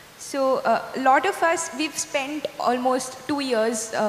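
A woman's voice with ordinary pitch variation carries audible room echo over light background noise. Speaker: event compere; panelist. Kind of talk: moderated Q&A. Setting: stage with audience. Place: stage. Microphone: handheld.

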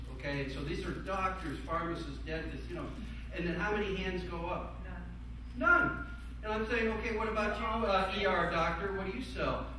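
At a fairly quick pace, the voice comes through strong room echo and noticeable background noise. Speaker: panelist. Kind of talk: panel discussion. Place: meeting room. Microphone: camera far.

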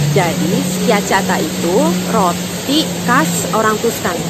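A woman speaks over loud background noise, her pitch varying in an ordinary way, the sound dry with no echo. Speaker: travel food vlogger. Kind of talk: casual vlog chat. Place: street. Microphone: phone near.

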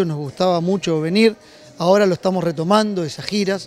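A man talks at a high pitch with ordinary pitch variation. The sound is dry with no echo, and faint music plays in the background. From Uruguay. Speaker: company general manager. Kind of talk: interview. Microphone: handheld.

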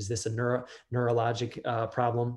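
Against a quiet background, a man speaks in a dark, mellow tone that is somewhat breathy. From Delaware. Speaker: dentist; presenter. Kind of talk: lecture. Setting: video call. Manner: casual with many fillers. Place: office. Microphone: webcam.

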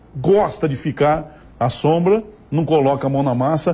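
Over a quiet background, a man's fairly high, somewhat breathy voice carries a dark, mellow tone. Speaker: TV show host presenter. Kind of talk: TV regional program presenter talk to camera.

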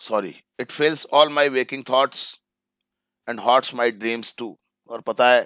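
A man with a medium pitch and a bright, sharp tone speaks at a fairly slow pace with fairly even intonation, long, frequent pauses and big swings in loudness, in a dry sound with no echo and a quiet background. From India. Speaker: English teacher. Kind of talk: lecture. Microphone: video call.

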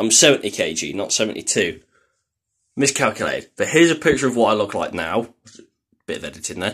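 The background is quiet as a man speaks. His pace is moderate and his intonation lively. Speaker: fitness vlogger. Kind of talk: casual vlog chat. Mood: slightly unsure, casual. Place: bathroom.

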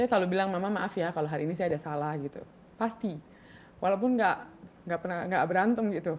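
A woman talks at a very fast pace with ordinary pitch variation over light background noise. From Papua, Indonesia; Indonesia. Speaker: model and beauty pageant winner; podcast guest. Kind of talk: casual interview chat. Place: studio. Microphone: studio mic.

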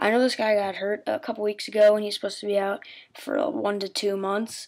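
A woman is whispering. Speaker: sports video maker. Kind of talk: casual talk to camera. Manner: semi-whispered.

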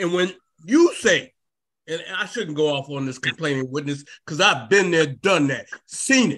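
In a quiet background, a man with a fairly high pitch and a bright, sharp tone talks at a moderate pace with lively intonation. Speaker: defense attorney. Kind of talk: court argument. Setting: video call. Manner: halting, repeats words. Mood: earnest, persuasive. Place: home room. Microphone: video call.

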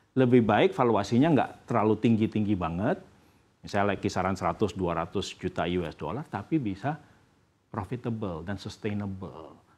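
Moderately paced, the man's speech sits at a fairly low pitch. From Indonesia. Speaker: venture capital executive. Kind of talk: news interview. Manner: halting. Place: studio. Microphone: lapel.

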